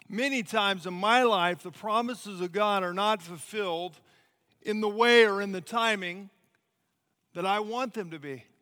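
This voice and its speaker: In a raised, projected voice with big swings in loudness, a man with a high pitch and a bright, sharp tone talks at a moderate pace with ordinary pitch variation, on a very clean recording with a silent background. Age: 40s. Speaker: missionary. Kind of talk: sermon.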